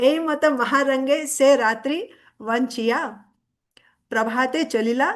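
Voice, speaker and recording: The woman is heard over a quiet background. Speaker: religious speaker. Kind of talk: scripture discourse. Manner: halting, with fillers.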